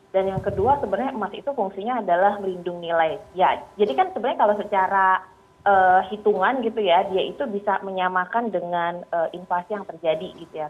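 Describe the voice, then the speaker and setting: Music plays in the background as a woman talks at a fairly quick pace. Her pitch is medium, with ordinary pitch variation. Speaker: financial planner. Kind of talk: news interview. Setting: video call. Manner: hesitant with fillers. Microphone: delayed connection.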